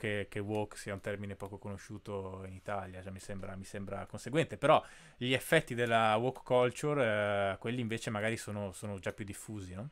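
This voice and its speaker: A plain, everyday voice speaks at a fairly quick pace with fairly even intonation. The background is quiet. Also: man. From Italy, Bolzano; Italy. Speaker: podcast host. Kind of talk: interview. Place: home room. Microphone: studio mic.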